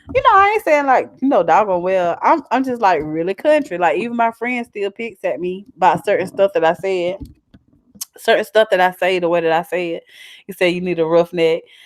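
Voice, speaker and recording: A woman with a strong Southern accent speaks at a fairly quick pace in a medium pitch with lively intonation. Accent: strong Southern twang. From US South. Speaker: YouTuber. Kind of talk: casual live-stream chat. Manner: animated.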